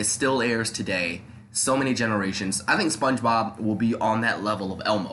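With audible room echo and noticeable background noise, a man with an American accent talks at a fairly quick pace, medium pitch, and fairly even intonation. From New York, the Bronx. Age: 20s. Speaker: podcast host. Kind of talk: casual chat. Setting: home studio.

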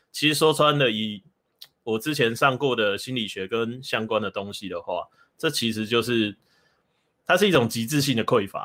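Moderate-speed speech from a man, with pitch that varies in an ordinary way. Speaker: bookstore owner and dating commentator. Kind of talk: casual chat.

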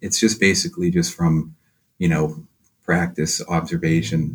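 A man with an American accent speaks at a moderate pace in a somewhat breathy voice, his pitch swinging very widely. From Boston, Massachusetts (West Roxbury). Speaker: painter. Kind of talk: interview. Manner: halting, many fillers.

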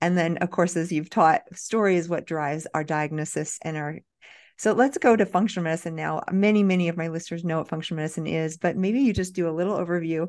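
Very fast, enthusiastic speech from a woman with an American accent and a fairly low pitch, against a quiet background. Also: ordinary pitch variation. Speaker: podcast host and physician. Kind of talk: interview.

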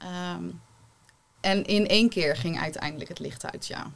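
A fairly slow pace with very wide pitch swings. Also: woman. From Rotterdam-Zuid, Netherlands. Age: 30s. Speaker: holistic therapist. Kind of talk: panel discussion.

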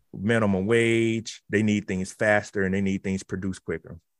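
In a Southern US accent, the speech stays monotone and flat, with a dry, close sound free of echo on a very clean recording against a silent background. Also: man. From South Carolina. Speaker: automation researcher. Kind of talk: radio interview.

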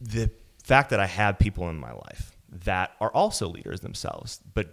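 This man has an ordinary speaking voice, fairly low in pitch, at a moderate pace. The recording is very clean, with a silent background. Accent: American. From Wisconsin. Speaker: tech company founder and CEO. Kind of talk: casual interview. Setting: guest's office.

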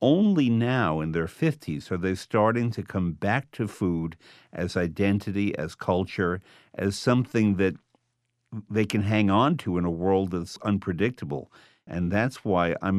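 Against a quiet background, a man with a plain, everyday voice speaks at a moderate pace and fairly low pitch, with ordinary pitch variation. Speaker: food writer and author. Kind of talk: interview.

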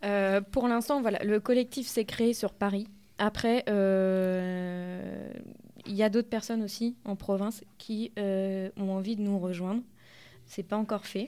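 A woman's dark, mellow voice at medium pitch, very slow and fairly even in intonation, in a very clean recording with a silent background. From Normandy, rural France. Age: 20s. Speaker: nurse, feminist collective activist. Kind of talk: radio interview.

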